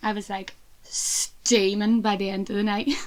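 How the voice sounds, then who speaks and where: Fairly even intonation in a Belfast accent, on a very clean recording with a silent background. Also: woman. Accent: Belfast Northern Irish. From Northern Ireland, Belfast. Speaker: podcast co-host. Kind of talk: casual chat.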